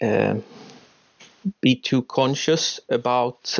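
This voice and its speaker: A man with a Swedish accent at a very slow pace. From Uppsala, Sweden. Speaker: professor. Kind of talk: panel discussion. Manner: hesitant.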